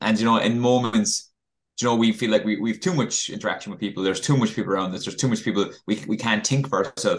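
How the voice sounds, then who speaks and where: Speaking at a very fast pace, a man with an Irish accent shows ordinary pitch variation. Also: medium pitch for a man. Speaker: podcast co-host, coach. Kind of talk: casual chat. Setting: video call. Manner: halting, repetitive.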